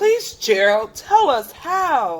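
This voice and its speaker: A woman's put-on character voice, high-pitched, raised and projected, with very wide pitch swings. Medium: read story.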